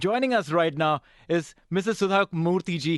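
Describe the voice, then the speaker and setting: A man with a Gujarati accent talks at a moderate pace in a high voice with ordinary pitch variation, recorded dry and close with no echo against a quiet background. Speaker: radio host. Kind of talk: interview.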